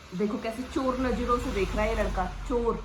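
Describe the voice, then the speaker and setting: Noticeable background noise and audible room echo accompany speech with ordinary pitch variation. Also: woman. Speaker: pet vlogger. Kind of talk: casual vlog. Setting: at home, then outdoors. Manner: speaking loudly to be heard.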